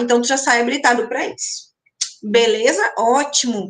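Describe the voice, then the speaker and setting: Speaking at a moderate pace, a woman has a high-pitched voice with a bright, sharp tone. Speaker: university lecturer. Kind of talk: online lecture answering chat questions. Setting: online live stream.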